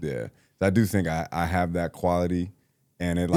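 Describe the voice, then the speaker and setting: Over a silent background in a very clean recording, a man with a very deep, low pitch talks at a moderate pace with fairly even intonation. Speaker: podcast co-host. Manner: mellow, laid back.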